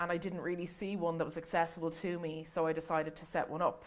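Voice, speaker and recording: With an Irish accent, a woman speaks at a fairly low pitch. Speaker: book influencer. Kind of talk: panel talk at library event.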